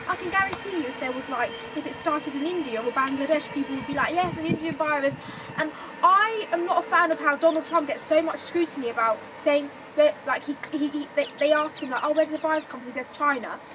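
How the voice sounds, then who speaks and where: Talking at a very fast pace, a woman uses a high pitch with ordinary pitch variation amid noticeable background noise. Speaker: podcast host. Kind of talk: casual chat.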